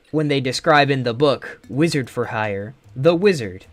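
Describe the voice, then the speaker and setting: Against noticeable background noise, a man at medium pitch talks at a fairly slow pace. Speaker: gaming streamer. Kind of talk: live gameplay stream. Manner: halting.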